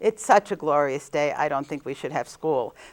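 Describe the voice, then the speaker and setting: A woman speaks with a New Jersey accent and ordinary pitch variation. The recording is very clean, with a silent background. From New Jersey, Jersey City. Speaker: nun. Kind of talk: interview.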